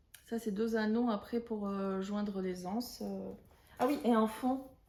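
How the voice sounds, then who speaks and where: Amid noticeable background noise, a woman with a fairly high pitch speaks at a very slow pace with fairly even intonation. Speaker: knitting podcaster. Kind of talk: casual chat. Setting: at home. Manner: hesitant, many fillers.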